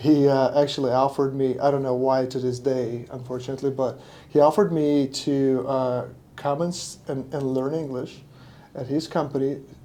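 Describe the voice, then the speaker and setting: A man's dark, mellow tone, monotone and flat, at a fairly quick pace. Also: medium pitch for a man. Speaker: painting business owner. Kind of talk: podcast interview. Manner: halting, many fillers.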